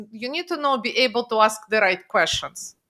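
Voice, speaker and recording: A woman's raised, projected voice with a bright, sharp tone and lively intonation comes through on a very clean recording with a silent background. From Russia. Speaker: financial strategist. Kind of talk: podcast interview.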